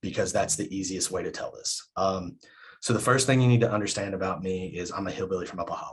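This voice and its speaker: Very fast male speech, fairly low in pitch and fairly even in intonation. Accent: American. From southern West Virginia coal fields. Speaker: professor. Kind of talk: keynote talk. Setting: video call. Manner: repeats words, hesitant fillers.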